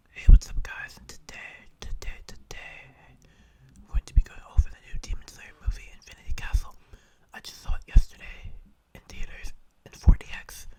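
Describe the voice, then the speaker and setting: The voice is whispering at a moderate pace with long, frequent pauses. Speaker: ASMR anime reviewer. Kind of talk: whispered movie review. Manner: whispered, soft; casual, rambling.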